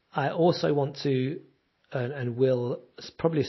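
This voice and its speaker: A somewhat breathy voice goes at a fairly quick pace, with pitch that varies in an ordinary way. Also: man. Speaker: podcaster and musician. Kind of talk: solo podcast monologue, casual and rambling. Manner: rambling, conversational.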